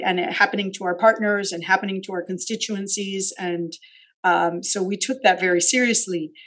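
Monotone, flat intonation marks a woman's medium-pitched speech. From Miami, Florida (Cuban American family). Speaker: university administrator. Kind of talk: interview.

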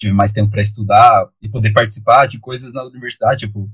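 Speaking very fast, a man uses a fairly low, somewhat breathy voice with fairly even intonation. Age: 20s. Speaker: public school sociology teacher. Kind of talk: interview. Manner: long-winded.

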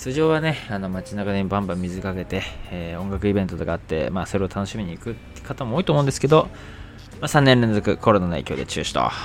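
A man talks at a very fast pace in a fairly low voice, his pitch swinging very widely. Music plays in the background. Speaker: podcaster. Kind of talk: casual monologue.

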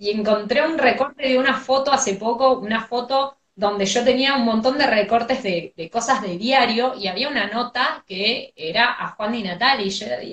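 A woman with a high pitch talks at a moderate pace with ordinary pitch variation and hardly any pauses. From Argentina, outside Buenos Aires. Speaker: radio host. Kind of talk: casual chat. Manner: energetic, cheerful.

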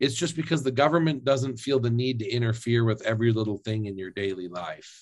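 A man with a plain, everyday voice speaks fairly quickly at medium pitch, with ordinary pitch variation and hardly any pauses. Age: 30s. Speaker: fitness influencer and former lawyer. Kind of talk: interview. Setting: remote call.

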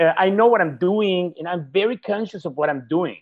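Speaking at a moderate pace, a man with high pitch uses lively intonation.

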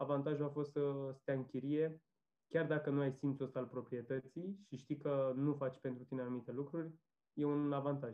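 A man with a fairly high voice speaks at a moderate pace. His intonation is monotone and flat. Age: 20s. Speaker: software developer, renter. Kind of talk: casual interview.

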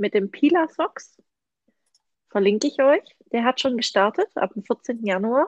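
Very slowly and with lively intonation, a woman speaks at a high pitch in a dry, close sound with no echo. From Swabia, Germany. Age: 30s. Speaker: knitting podcast host. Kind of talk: casual chat.

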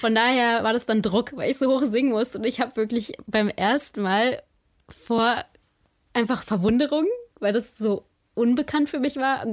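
Her voice is high-pitched for a woman, with ordinary pitch variation and a moderate pace. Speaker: podcaster. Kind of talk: casual chat.

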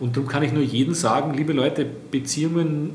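Audible room echo and noticeable background noise accompany a man whose fairly high voice keeps a fairly even intonation. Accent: Austrian. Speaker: business network executive. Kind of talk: interview.

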